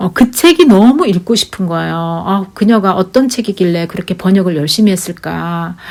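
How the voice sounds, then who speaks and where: A woman's medium-pitched, animated voice in a Daegu accent, at a moderate pace with hardly any pauses. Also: ordinary pitch variation. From Korea, Daegu. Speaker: YouTuber. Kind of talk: casual storytelling monologue. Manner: chatty, animated.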